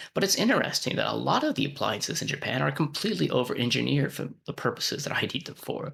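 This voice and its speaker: A man with an American accent at a very fast pace, with hardly any pauses. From United States. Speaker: vlogger and research scientist. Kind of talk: casual vlog monologue.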